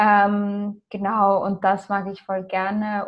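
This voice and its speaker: A woman's somewhat breathy voice stays monotone and flat. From Austria and Ireland. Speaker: copywriter and agency founder. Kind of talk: interview.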